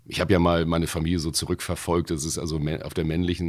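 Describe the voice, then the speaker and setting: Speaking at a very fast pace, a man with a very deep, low pitch and vocal fry comes through on a very clean recording with a silent background. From Hamburg, Wilhelmsburg. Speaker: bouncer and voice actor. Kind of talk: casual chat.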